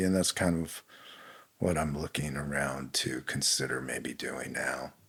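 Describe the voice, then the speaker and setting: Against a silent background on a very clean recording, a man speaks at a moderate pace with ordinary pitch variation. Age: 60s. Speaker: winemaker. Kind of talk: casual chat.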